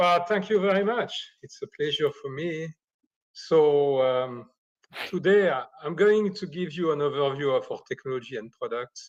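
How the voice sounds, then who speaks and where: A man's fairly high voice at a moderate pace, with lively intonation and big swings in loudness. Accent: slight French. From Switzerland, near Geneva. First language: French. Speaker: optics engineer and company founder. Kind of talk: technical presentation.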